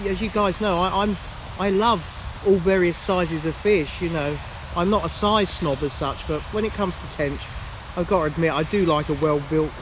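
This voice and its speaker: Over noticeable background noise and audible room echo, a high-pitched man talks at a fairly quick pace with ordinary pitch variation. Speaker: angler vlogger. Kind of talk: casual vlog to camera. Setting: outdoors by a lake. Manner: loud.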